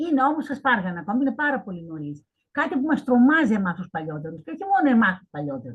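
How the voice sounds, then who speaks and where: Speaking fairly quickly, a woman uses a fairly high pitch. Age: 70s. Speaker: professor. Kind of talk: Q&A question.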